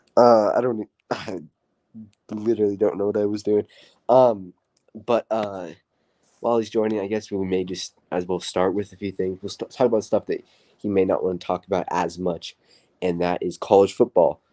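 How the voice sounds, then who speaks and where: Dark and mellow in tone, a man with a fairly low pitch talks at a moderate pace with fairly even intonation. He takes long, frequent pauses, and the sound is dry and close with no echo. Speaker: sports podcast host. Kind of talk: casual chat. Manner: hesitant, filler-heavy.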